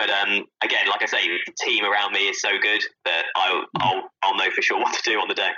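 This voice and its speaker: With a southern English accent, a man speaks at a fairly quick pace and very even loudness. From Southampton, southern England. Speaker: stadium PA announcer and radio journalist. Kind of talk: casual chat.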